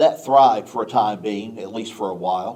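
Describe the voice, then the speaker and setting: Here a man talks with a Southwest Virginia accent. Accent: Southwest Virginia southern. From Southwest Virginia, US.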